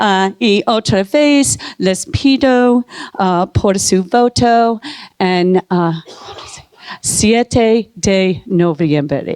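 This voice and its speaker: The sound is dry and close with no echo, and the woman's loudness stays very even. She talks at a very slow pace and a medium pitch with lively intonation. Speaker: city council candidate. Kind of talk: candidate forum speech. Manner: halting Spanish.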